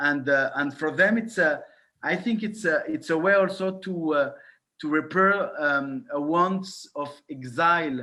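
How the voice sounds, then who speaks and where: Pitched high with a bright, sharp tone, a man speaks at a fairly slow pace with ordinary pitch variation. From France, born in Morocco. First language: French. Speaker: film director. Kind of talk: Q&A interview. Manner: halting, many hesitations.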